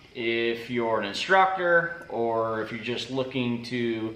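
Room echo can be heard. It surrounds a man's speech. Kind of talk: casual vlog chat. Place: workshop. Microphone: camera far.

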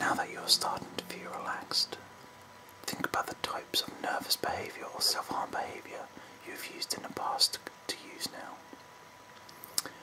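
Whispering at a moderate pace. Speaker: guided relaxation narrator. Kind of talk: guided meditation script, slow and soft. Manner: soft, hushed calming voice. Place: home room. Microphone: phone near.

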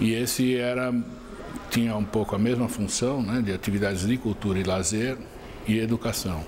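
A man speaks at a moderate pace in a fairly low voice with fairly even intonation over noticeable background noise. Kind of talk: interview answer. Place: studio. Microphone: lapel.

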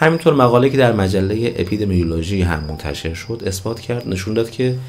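A man talks at a fairly quick pace with lively intonation. Faint music plays in the background. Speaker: health educator / doctor; health educator. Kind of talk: educational talk to camera. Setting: home recording at night. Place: studio.

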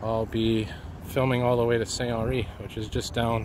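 A man talks at a moderate pace, and the sound is dry with no echo. Noticeable background noise runs underneath. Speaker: walking video host. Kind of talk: casual vlog narration. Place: street. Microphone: phone near.

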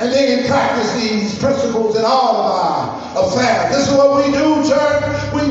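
With strong room echo and faint music in the background, a man speaks at a moderate pace in an extremely high pitch for a man. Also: ordinary pitch variation. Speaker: pastor. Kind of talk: sermon. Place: church.

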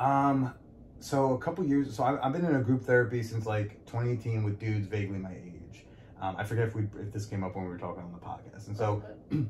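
A very fast, somewhat breathy man's voice at medium pitch with ordinary pitch variation. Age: 30s. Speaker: podcast host and comedian. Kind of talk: casual interview chat.

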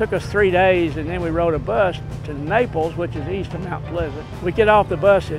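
A man with an American accent talks at a moderate pace in a high pitch with ordinary pitch variation. Clear music plays in the background, and the sound is dry with no echo. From East Texas. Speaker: military veteran. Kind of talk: interview answer. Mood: nostalgic, warm storytelling. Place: street.

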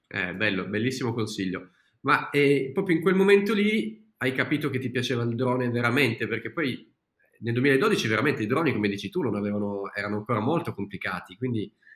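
With audible room echo over a quiet background, a man talks at a fairly quick pace. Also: medium pitch for a man. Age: 30s. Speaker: video-making teacher and channel host; video-making teacher, channel host. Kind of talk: casual interview chat. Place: home room.

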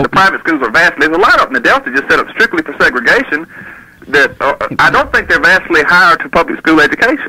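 Noticeable background noise is present throughout. A man speaks at a very fast pace. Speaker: doctor, radio call-in caller. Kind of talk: radio call-in argument.

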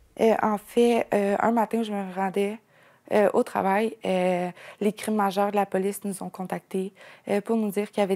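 A woman's dark, mellow voice holds a monotone, flat intonation. The recording is very clean, with a silent background. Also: dry, close sound with no echo. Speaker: mother of alleged abuse victims. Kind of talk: news interview. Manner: halting.

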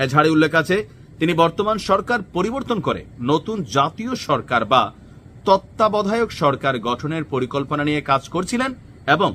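The voice has a bright, sharp tone with very wide pitch swings. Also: man, high pitch for a man. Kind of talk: news commentary monologue.

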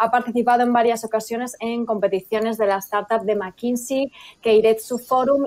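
A woman at a very fast pace, fairly high in pitch, with fairly even intonation. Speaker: event presenter. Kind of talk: scripted introduction. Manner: formal. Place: home room.

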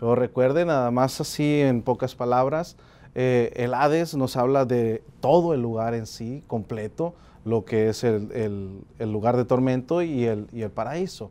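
The man talks fairly slowly in a dark, mellow tone, his pitch varying in an ordinary way. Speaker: preacher. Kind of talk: sermon. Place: studio. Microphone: lapel.

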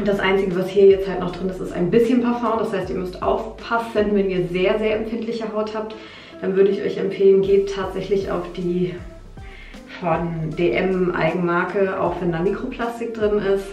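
A woman speaks with fairly even intonation. There is audible room echo and faint music in the background. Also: moderate pace. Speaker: beauty vlogger. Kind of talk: casual vlog chat, product tutorial. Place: bathroom. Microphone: phone near.

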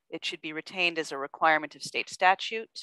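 In a quiet background with a dry sound and no echo, a woman speaks with a bright, sharp tone, a fairly low pitch and ordinary pitch variation. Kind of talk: meeting remarks, reading emails aloud. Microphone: video call.

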